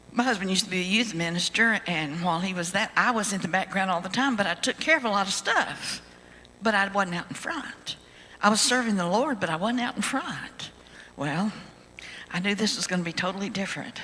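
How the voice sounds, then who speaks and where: A woman's speech carries ordinary pitch variation, and noticeable background noise sits underneath it. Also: medium pitch for a woman, fairly quick pace. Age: 80s+. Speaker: ventriloquist. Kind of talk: testimony.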